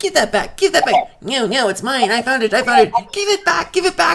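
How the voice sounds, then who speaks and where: In a put-on character voice, the speaker talks at a fairly quick pace with a high pitch and very wide pitch swings. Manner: very animated, arguing.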